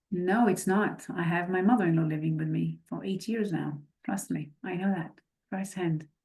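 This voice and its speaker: A woman speaks with vocal fry in a dark, mellow tone at a fairly low pitch. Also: ordinary pitch variation, moderate pace. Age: 50s. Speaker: real estate investor. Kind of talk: podcast interview.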